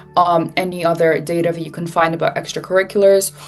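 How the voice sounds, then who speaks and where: A woman speaks with a fairly low pitch. Noticeable background noise runs underneath. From Switzerland. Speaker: college student mentor. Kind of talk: webinar presentation.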